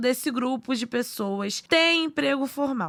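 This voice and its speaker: Here a woman talks in a raised, projected voice at a high pitch with a bright, sharp tone. Her pace is fairly slow. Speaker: podcast narrator. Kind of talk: news podcast narration.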